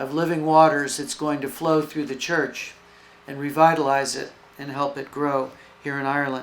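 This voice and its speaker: The speaker has an American accent and a moderate pace. The intonation stays monotone and flat. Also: man. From US South, Florida. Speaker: foundation representative. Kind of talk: speech. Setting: event with audience.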